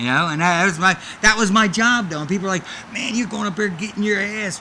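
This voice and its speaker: A man speaks in a raised, projected voice with an animated tone and a high pitch. Noticeable background noise runs behind him. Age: 50s.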